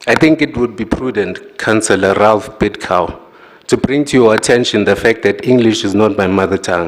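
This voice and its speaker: Against noticeable background noise, a man with a non-native accent speaks at a fairly low pitch with ordinary pitch variation. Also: moderate pace. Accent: non-native English pronunciation. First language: not English. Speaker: executive mayor. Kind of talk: formal council debate speech. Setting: council chamber podium. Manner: formal.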